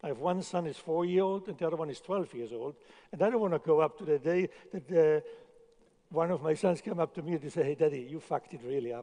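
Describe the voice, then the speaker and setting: A man's dark, mellow voice at a fairly high pitch, very fast pace, and ordinary pitch variation. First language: not English. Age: 60s. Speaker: chef. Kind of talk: conference talk. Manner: halting, with repetitions.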